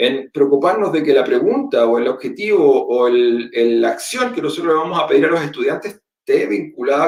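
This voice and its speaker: A man with a Chilean accent speaks at a fairly quick pace. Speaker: teacher and education technology presenter. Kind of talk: webinar presentation. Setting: online webinar.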